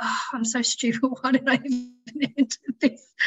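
With an Australian accent, a woman speaks in a high pitch and fairly even intonation. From Tasmania, Australia (Launceston). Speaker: ICU nurse and amateur runner. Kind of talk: casual interview chat.

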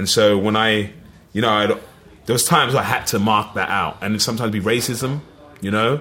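Here a man speaks with a fairly low pitch. His pitch variation is ordinary. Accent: East London. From East London (Plaistow). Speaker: actor. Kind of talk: casual chat.

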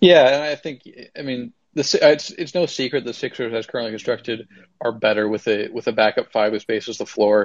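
At a fairly quick pace, this is an ordinary speaking voice with ordinary pitch variation. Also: man, medium pitch for a man. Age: 20s. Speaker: basketball podcast host. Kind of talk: casual chat.

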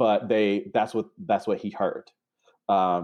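Against a quiet background, a man talks in an unremarkable speaking voice, fairly low in pitch, with lively intonation. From North Carolina. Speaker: therapist. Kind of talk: interview.

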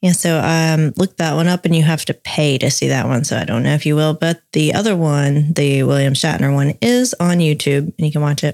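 With a Southern US accent and a very deep, low pitch, a woman speaks fairly quickly with ordinary pitch variation and very even loudness, the sound dry and close with no echo. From US South. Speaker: podcast co-host. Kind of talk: casual chat with scripted reading.

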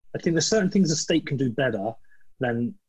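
A man's somewhat breathy voice. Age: 40s. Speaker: podcast host. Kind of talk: casual chat.

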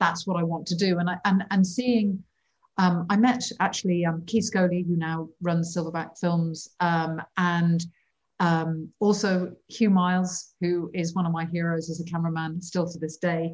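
Speaking fairly slowly in an English accent, a woman uses a fairly low, somewhat breathy voice with monotone, flat intonation. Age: 50s. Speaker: wildlife cinematographer. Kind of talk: interview.

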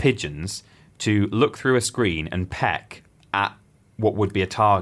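A man with an English accent talks at a fairly slow pace. His pitch sits fairly low. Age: 20s. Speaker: podcast co-host. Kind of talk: casual chat. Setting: studio.

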